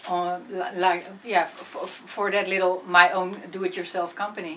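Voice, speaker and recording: With a Dutch accent and monotone, flat intonation, the speaker keeps a moderate pace over noticeable background noise. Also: woman, medium pitch for a woman. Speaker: singer-songwriter. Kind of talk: interview. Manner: halting, many fillers and repetitions.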